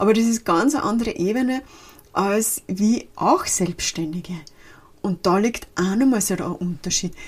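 Somewhat breathy, a woman talks at a moderate pace with lively intonation. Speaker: podcast host and life and social counsellor. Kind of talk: solo podcast talk. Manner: casual, mixing formal and dialect.

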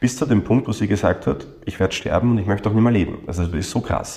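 This man speaks in a Viennese accent with a fairly low pitch, a dark, mellow tone, ordinary pitch variation and a somewhat breathy quality. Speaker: coach trainer and psychotherapist. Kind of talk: interview.

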